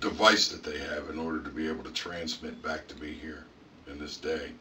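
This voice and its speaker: A man puts on a raspy character voice at a moderate pace. Clear background noise runs behind him. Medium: audio drama. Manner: halting, conversational.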